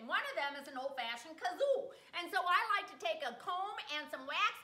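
A woman's raised, projected voice with an American accent, moderate pace and audible room echo. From Wisconsin. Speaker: comedy vlogger. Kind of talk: casual talk to camera. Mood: playful, comedic. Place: kitchen. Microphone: webcam.

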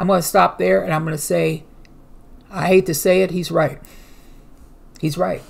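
A woman with a very deep, low pitch and vocal fry speaks at a moderate pace with lively intonation and long, frequent pauses. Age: 50s. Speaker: news commentary youtuber. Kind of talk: reading news articles aloud with commentary. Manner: casual, hesitant with fillers. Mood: earnest, preaching tone. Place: home room. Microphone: webcam.

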